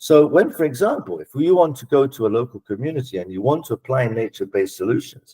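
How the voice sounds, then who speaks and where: A somewhat breathy man with a fairly high pitch talks at a fairly quick pace, in a very clean recording with a silent background and a dry, close sound with no echo. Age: 60s. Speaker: political scientist. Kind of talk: panel discussion.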